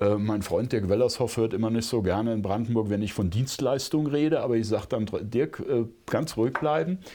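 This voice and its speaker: A man's dark, mellow voice at medium pitch, fairly quick with hardly any pauses, very even in loudness, with ordinary pitch variation against a quiet background. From Rhineland-Palatinate, Germany (Bad Kreuznach). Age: 50s. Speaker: conservation and hunting association director, former politician. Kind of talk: podcast interview.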